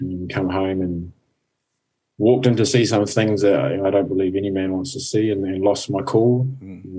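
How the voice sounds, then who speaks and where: In a room with audible echo, a man speaks at a moderate pace with a fairly low pitch, ordinary pitch variation, and a dark, mellow tone. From New Zealand, Napier. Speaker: life coach and mentor. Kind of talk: interview. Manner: calm.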